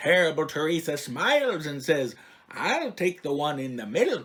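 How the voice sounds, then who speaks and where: A man with an unremarkable speaking voice, fairly high in pitch, with lively intonation at a moderate pace. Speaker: children's poetry reading host, a bookworm librarian character. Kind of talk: reading silly rhyming poems aloud.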